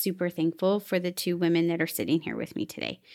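The recording is very clean, with a silent background. A woman with a medium-pitched voice speaks at a very fast pace. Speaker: educator. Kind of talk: casual chat. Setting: studio.

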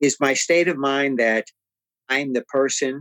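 A man with an American accent has an ordinary speaking voice, fairly high in pitch. The sound is dry and close with no echo. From San Antonio, Texas (west side). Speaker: podcast co-host. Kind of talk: casual discussion.

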